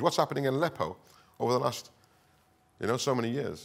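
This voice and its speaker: A man talks at a very fast pace. He has a northern English accent. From northern England. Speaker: counter-extremism expert. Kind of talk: conference talk. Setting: stage with audience.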